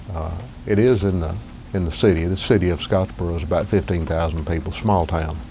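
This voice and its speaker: Over noticeable background noise, a man with a Southern accent talks at a moderate pace in a very deep, low pitch with ordinary pitch variation. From US South, northeast Alabama. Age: 60s. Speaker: vlogger. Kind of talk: casual vlog monologue. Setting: outdoors under cabin porch roof. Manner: halting.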